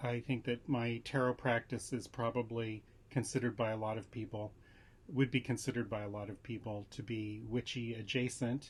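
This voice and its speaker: A man with a medium pitch and a somewhat breathy voice talks at a moderate pace with fairly even intonation. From Southern California. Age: 60s. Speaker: tarot vlogger. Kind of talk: casual vlog talk. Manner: hesitant with fillers.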